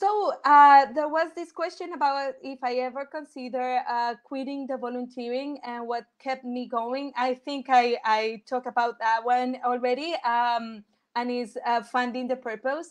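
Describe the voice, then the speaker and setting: A woman with a Colombian accent, high-pitched, with ordinary pitch variation and a fairly slow pace. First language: Spanish. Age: 30s. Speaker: engineer and volunteer speaker. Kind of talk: Q&A after a talk. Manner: halting.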